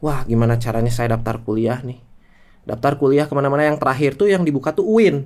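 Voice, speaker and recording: A man's medium-pitched voice shows ordinary pitch variation. He talks at a very fast pace. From Indonesia, Garut (West Java). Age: 20s. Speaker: entrepreneur. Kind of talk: casual podcast interview.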